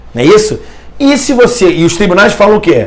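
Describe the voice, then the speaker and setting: Against audible room echo, a man talks at a fairly quick pace in an animated tone. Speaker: law professor. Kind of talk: lecture. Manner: fast.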